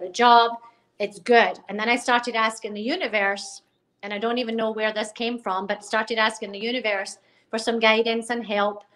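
In a Scottish accent, a woman talks at a fairly quick pace with a fairly high pitch and monotone, flat intonation. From Scotland. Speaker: life coach. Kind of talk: casual interview. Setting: phone call. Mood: reflective, earnest. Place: home room. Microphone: video call.

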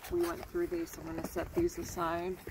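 A woman's fairly low pitch in a monotone, flat intonation at a fairly quick pace, with clear background noise.

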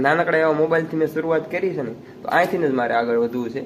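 A man speaks in a fairly high voice with lively intonation amid noticeable background noise. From Gujarat, Rajkot district (Saurashtra). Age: 20s. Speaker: village vlogger. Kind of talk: casual Q&A vlog.

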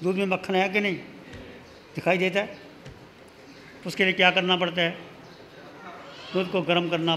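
Light background noise runs under a man's speech. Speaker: religious teacher. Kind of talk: sermon. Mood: calm, smiling, teaching. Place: hall. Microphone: podium.

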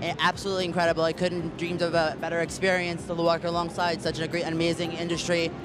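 A man's very fast speech in a dry sound with no echo, with music in the background. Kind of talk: promotional greeting to camera. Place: hall. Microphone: handheld.

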